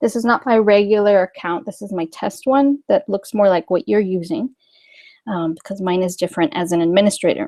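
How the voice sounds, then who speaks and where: Her tone dark and mellow, a woman of medium pitch talks at a fairly quick pace with lively intonation, the sound dry and close with no echo. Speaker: software trainer. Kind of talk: tutorial. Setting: webinar.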